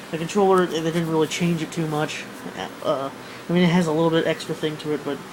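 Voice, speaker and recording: Noticeable background noise runs under this recording. A man speaks at a very fast pace with a fairly high pitch. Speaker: gaming vlogger. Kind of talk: casual vlog monologue. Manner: animated.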